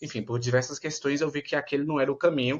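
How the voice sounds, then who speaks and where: Words rush out at a very fast pace in a Bahian accent over a quiet background. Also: man. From Bahia, Brazil. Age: 20s. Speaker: medical student. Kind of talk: interview.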